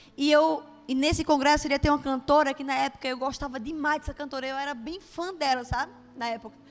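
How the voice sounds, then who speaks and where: A woman's animated, high-pitched voice in a Bahian accent at a very fast pace. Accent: Bahian Brazilian Portuguese. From Brazil, Bahia (Juazeiro). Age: 30s. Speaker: preacher. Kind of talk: sermon with personal testimony.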